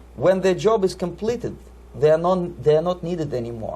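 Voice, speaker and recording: The speaker talks at a fairly quick pace with a Russian accent. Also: man. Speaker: Soviet defector, former KGB operative. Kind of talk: interview answer.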